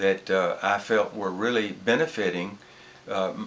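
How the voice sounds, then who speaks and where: A man's fairly low voice at a fairly slow pace, with ordinary pitch variation and noticeable background noise. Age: 80s+. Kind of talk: testimonial interview.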